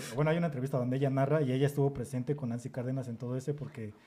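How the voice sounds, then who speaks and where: Speaking very fast, a man with a medium pitch and a dark, mellow tone sounds somewhat breathy, keeping his intonation fairly even. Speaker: podcast host. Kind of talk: casual chat.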